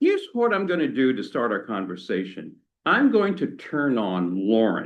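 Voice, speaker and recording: Audible room echo fills the space. A man speaks in it at a fairly slow pace. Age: 60s. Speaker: tech worker, guest speaker. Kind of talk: talk to a church adult education class. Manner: conversational, casual.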